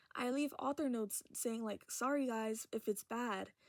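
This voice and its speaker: A woman speaks in a high voice. The sound is dry and close, with no echo. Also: very clean recording, silent background. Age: young. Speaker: vlogger. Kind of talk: casual chat. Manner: animated.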